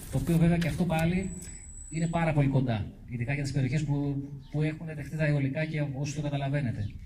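Talking at a very fast pace, a man with a fairly high pitch keeps his intonation fairly even amid audible room echo. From Kymi area, Euboea, Greece. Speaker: mountaineering club president. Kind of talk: public talk.

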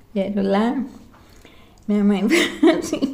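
A woman's fairly high voice at a very slow pace, with audible room echo. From interior of São Paulo state, Brazil (Sertãozinho, near Ribeirão Preto). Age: 70s. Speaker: grandmother sharing life memories. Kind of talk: casual family chat. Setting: informal home recording.

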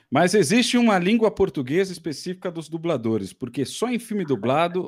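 On a very clean recording with a silent background, a man's voice moves through very wide pitch swings. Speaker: podcast co-host. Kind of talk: casual chat.

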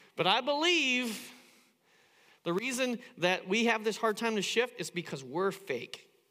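This man uses a raised, projected voice with a high pitch. He goes at a fairly slow pace, and his tone is bright and sharp. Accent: American. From US Midwest, Indiana. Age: 50s. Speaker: pastor. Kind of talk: sermon. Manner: halting.

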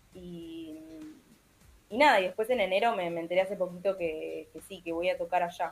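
A woman with a Montevideo accent speaks at a fairly low pitch and a moderate pace, with ordinary pitch variation. Her loudness swings a lot over music in the background. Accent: Uruguayan Spanish (Montevideo). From Uruguay, Montevideo. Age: 20s. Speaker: singer-songwriter. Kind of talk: interview. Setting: remote call.

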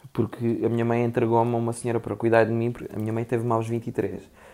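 The speaker is a man with a medium pitch. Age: 30s. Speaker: actor. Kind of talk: casual chat.

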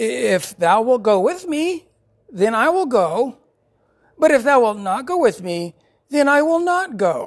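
In a put-on character voice, someone whines at a fairly high pitch and a fairly slow pace, with very wide pitch swings and long, frequent pauses. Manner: whiny.

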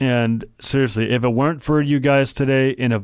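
Recorded very cleanly against a silent background, a man talks at a fairly slow pace. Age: 20s. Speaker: podcast host, visually impaired. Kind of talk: solo podcast monologue. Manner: halting.

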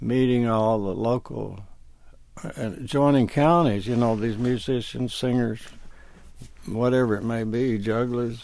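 A man speaks with an Alabama accent. His pitch is medium and his pace moderate. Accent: Southern US (Alabama). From northern Alabama. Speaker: session keyboardist and songwriter. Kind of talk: interview, storytelling.

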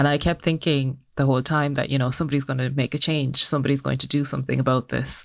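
The speaker talks at a very fast pace in a monotone, flat intonation with vocal fry. Loudness stays very even on a very clean recording with a silent background. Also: woman, very deep, low pitch for a woman. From Ireland, Cork. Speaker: social entrepreneur. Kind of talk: interview.

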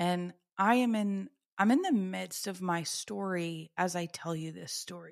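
Slow-ish and fairly low in pitch, a woman speaks with ordinary pitch variation in a very clean recording with a silent background. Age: 30s. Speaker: podcast host, PhD coach. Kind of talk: personal testimony. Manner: casual, chatty.

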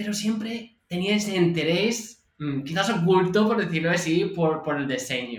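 In an American accent, a man talks at a high pitch and a fairly slow pace. His intonation is lively. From California, US. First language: English (speaking Spanish). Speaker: UX designer. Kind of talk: casual interview.

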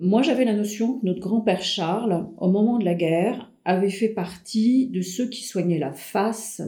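A woman's somewhat breathy, dark, mellow tone at a very slow pace. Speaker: family storyteller. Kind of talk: casual chat. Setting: shared microphone with relative. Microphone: shared mic, sound slightly worse than usual.

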